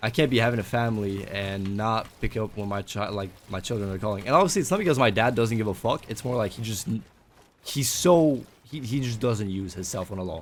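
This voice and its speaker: A man with a non-native accent, fairly low in pitch, at a fairly quick pace with ordinary pitch variation. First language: not English. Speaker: gaming streamer / vlogger. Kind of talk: casual vlog talk while gaming.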